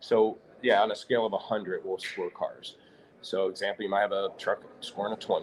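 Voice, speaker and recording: At a moderate pace, a man speaks in a Midwestern American accent. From US Midwest, St. Louis, Missouri. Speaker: automotive software company owner. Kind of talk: live interview at trade show. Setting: live broadcast at trade show event.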